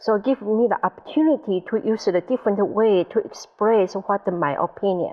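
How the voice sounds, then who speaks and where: A woman speaks with a Taiwanese accent and hardly any pauses. Her loudness stays very even. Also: medium pitch for a woman, ordinary pitch variation, moderate pace. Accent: Taiwanese Mandarin accent on English. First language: Mandarin. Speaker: IT specialist. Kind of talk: interview.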